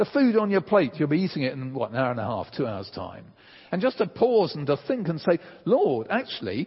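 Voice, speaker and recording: A man with a British accent, moderate pace and very wide pitch swings. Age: 60s. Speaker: preacher. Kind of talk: sermon.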